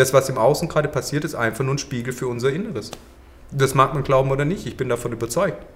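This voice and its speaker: This man speaks very fast. His voice is medium-pitched and varies in an ordinary way. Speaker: yoga teacher. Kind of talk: podcast interview.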